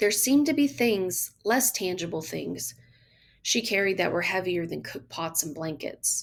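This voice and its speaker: A woman talks at a medium pitch. She has a Southern US accent. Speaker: teacher. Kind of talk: audiobook story reading.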